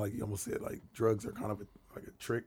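Very fast speech in an American accent over noticeable background noise. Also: man. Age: 20s. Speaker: podcast guest. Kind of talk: casual chat.

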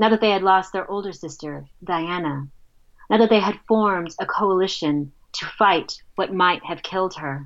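Against a quiet background, a woman talks at a moderate pace and medium pitch with ordinary pitch variation. Her loudness swings widely. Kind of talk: reading aloud from her own book, narrative prose. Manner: expressive, dramatic, vividly paced storytelling.

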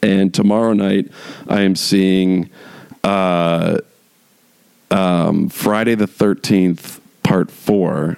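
A man's fairly low voice at a very slow pace, monotone and flat, with long, frequent pauses and very even loudness. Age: 40s. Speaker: solo podcast host. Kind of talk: casual monologue. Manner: hesitant, many fillers.

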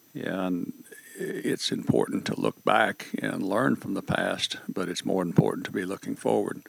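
Noticeable background noise accompanies words delivered fairly slowly. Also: man. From Northwest Arkansas. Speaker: chamber of commerce president. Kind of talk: interview.

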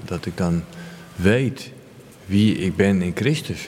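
A man speaks with a very deep, low pitch. Room echo is audible. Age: 50s. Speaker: recovering addict sharing faith story. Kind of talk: interview testimony. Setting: village church. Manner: halting.

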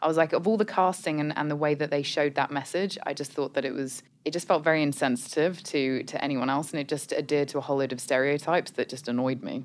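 In a British accent, the speaker goes at a very fast pace with fairly even intonation and hardly any pauses. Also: woman, very deep, low pitch for a woman. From United Kingdom. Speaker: co-host, marketing agency executive. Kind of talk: casual chat.

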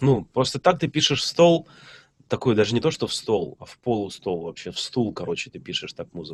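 A man of medium pitch speaks at a fairly quick pace with vocal fry. His pitch swings very widely and his loudness swings a lot. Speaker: electronic music producer and DJ teacher. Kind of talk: casual chat.

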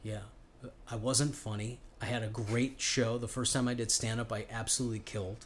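A man speaks at a medium pitch with an American accent. His voice is somewhat breathy and his intonation is monotone and flat. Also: moderate pace. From Chicago. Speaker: comedian. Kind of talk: casual chat.

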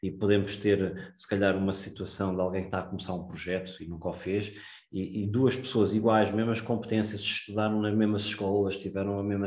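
This man has a fairly low pitch and speaks in a European Portuguese accent at a moderate pace. His intonation is monotone and flat, and audible room echo surrounds him. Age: 30s. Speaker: investment podcast host. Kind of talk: solo podcast monologue. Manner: hesitant, many fillers and repetitions.

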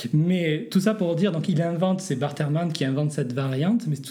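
A man's fairly high voice with a dark, mellow tone and a slight southern French accent, at a moderate pace with ordinary pitch variation and audible room echo. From southern France. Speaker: pastor and New Testament scholar. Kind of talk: interview on biblical textual criticism. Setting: borrowed office at a church union headquarters.

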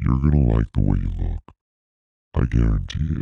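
Putting on a character voice, a man speaks at a moderate pace with a very deep, low pitch, the sound dry and close with no echo. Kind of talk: movie voiceover. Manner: menacing, smooth.

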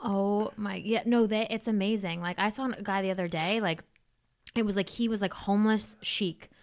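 In a normal speaking voice, a woman talks at a moderate pace and medium pitch. Her intonation stays fairly even. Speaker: podcast host. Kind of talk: casual chat, interview.

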